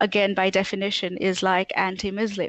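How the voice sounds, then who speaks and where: A woman with an American accent speaks at a medium pitch. The sound is dry and close, with no echo. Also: quiet background. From Tanzania. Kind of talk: casual interview chat.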